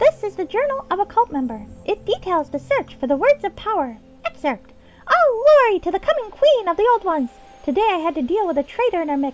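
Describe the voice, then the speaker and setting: A put-on character voice at an extremely high pitch lurches through very wide pitch swings. It moves at a fairly quick pace over faint music in the background. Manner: playful reading of a dark journal.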